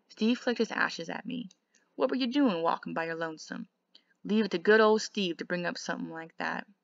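The text is read aloud plainly, the background quiet.

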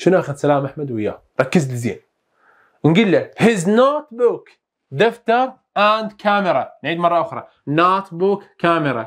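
The voice moves at a moderate pace with very wide pitch swings. The background is quiet. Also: man. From Iraq. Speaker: English teacher. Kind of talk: lesson. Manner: repetitive, drilling phrases. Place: studio. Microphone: lapel.

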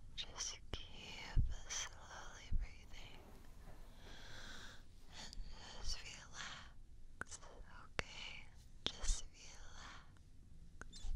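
Whispered and soft-spoken, the delivery moves at a very slow pace. Long pauses come often. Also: woman. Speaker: ASMR creator. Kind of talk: soft whispered ASMR roleplay. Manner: soft close-mic soothing whisper. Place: home room. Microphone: studio mic.

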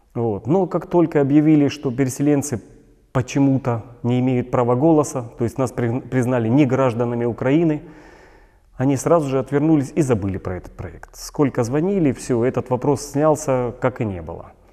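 Against a quiet background, a man talks at a moderate pace in a dark, mellow tone. His pitch varies in an ordinary way. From Donetsk, eastern Ukraine. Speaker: displaced person activist. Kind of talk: video blog monologue. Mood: serious, earnest. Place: studio.

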